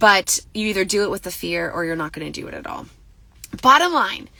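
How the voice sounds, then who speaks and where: An animated woman's voice with vocal fry, on a very clean recording with a silent background. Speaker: life coach. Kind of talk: live social media talk. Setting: waiting in car line. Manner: stutters when excited.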